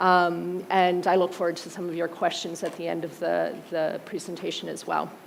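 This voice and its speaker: A woman with an American accent and a fairly low pitch speaks at a moderate pace in monotone, flat intonation, with audible room echo. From United States. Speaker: museum co-director. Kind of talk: conference presentation. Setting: auditorium stage with audience. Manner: frequent fillers (um).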